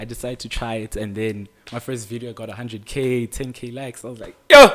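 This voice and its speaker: This man's voice sits at a medium pitch. The delivery stays monotone and flat. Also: fairly quick pace, big swings in loudness. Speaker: content creator. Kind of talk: podcast interview.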